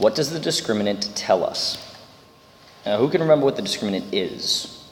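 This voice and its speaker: Talking at a fairly quick pace, a man is heard with noticeable background noise and audible room echo. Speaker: math teacher. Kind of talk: lecture.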